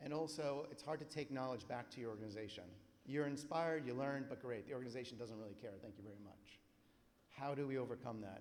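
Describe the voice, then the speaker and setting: Medium-pitched male voice with ordinary pitch variation and audible room echo. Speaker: conference presenter. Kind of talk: conference presentation. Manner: fast.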